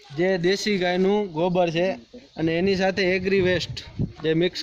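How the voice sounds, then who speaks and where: Amid noticeable background noise, a man with a high voice speaks in a monotone with flat intonation. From India, Kutch, Gujarat. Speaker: organic farmer. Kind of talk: interview.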